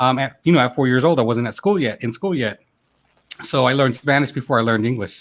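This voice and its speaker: At a very fast pace, a man talks with medium pitch and ordinary pitch variation. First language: Ilocano. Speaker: YouTube creator, show host. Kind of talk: casual chat. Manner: animated.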